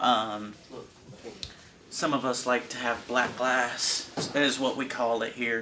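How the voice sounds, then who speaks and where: A man speaks at a very slow pace in a monotone, flat intonation, with long, frequent pauses. Background noise is noticeable. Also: medium pitch for a man. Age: young. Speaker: juvenile prison inmate. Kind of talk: interview answer. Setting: prison cell.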